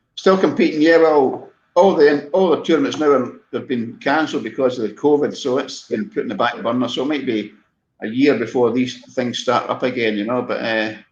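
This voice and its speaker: At a fairly quick pace, a man with a medium-pitched voice speaks in a Scottish accent with ordinary pitch variation. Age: 60s. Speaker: podiatrist and masters sprinter. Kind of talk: casual interview chat.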